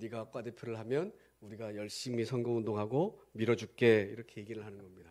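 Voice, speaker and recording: With a plain, everyday voice, a man speaks at a fairly quick pace in a medium pitch, his intonation fairly even and his loudness swinging widely. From Gangwon Province, South Korea. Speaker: pastor. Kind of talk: sermon.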